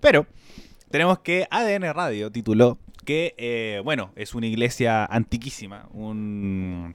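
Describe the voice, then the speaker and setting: A man's medium-pitched voice, very slow in pace, with lively intonation. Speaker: podcast host. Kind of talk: casual chat.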